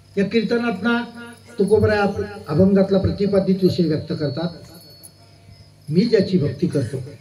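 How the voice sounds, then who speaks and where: There is noticeable background noise and audible room echo as a man speaks with a high pitch and ordinary pitch variation. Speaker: kirtan performer. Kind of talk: sermon.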